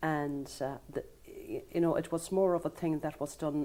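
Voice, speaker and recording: Very deep and low in pitch, a woman's dark, mellow tone comes through with a western Irish accent. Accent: Connemara Irish English. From Ireland, Connemara Gaeltacht (Galway). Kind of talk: TV interview. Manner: halting.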